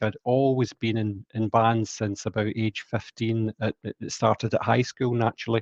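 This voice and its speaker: In a Scottish accent, a man speaks at a medium pitch and a moderate pace. His intonation is monotone and flat, with a dry, close sound and no echo. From Scotland, Glasgow. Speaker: sales engineer and rock musician. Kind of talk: interview.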